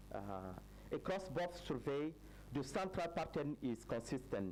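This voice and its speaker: A man speaks with a French accent. His pitch swings very widely. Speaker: researcher presenting study findings. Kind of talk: conference presentation. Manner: halting, many fillers.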